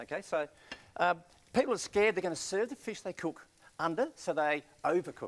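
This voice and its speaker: With an Australian accent, a man talks at a fairly quick pace in a high pitch, using lively intonation broken by long, frequent pauses. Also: big swings in loudness. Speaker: chef. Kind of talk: cooking demonstration. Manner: casual, enthusiastic. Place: studio. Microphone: lapel.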